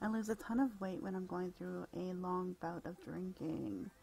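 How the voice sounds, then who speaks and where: A soft-spoken woman at medium pitch in a calm, relaxed tone, with music in the background. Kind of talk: relaxing bedtime article reading and casual commentary. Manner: soft-spoken, calm, relaxed.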